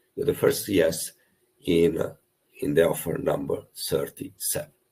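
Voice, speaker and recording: Speaking at a fairly slow pace, a man has a strong Italian accent. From Italy. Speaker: property investment coach. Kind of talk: webinar presentation. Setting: online webinar. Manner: animated.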